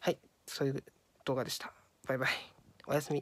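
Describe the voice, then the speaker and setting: A woman talks at a very fast pace with a very deep, low pitch. The recording is very clean, with a silent background. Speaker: YouTuber. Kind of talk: casual vlog announcement. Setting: lying down in an unusual place, wearing a mask. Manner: halting, many fillers; relaxed, casual.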